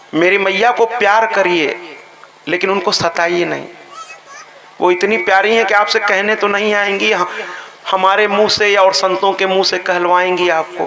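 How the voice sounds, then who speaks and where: A raised, projected voice with fairly even intonation and very even loudness comes through audible room echo and noticeable background noise. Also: man. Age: 60s. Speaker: religious storyteller. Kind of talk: religious discourse. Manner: emphatic, repetitive.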